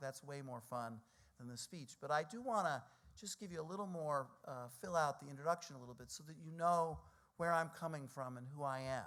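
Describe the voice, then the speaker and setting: A man's plain, everyday voice, fairly high in pitch, with an American accent, lively intonation and a fairly quick pace. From US Northeast, New York City (Brooklyn). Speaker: think tank president. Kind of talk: speech.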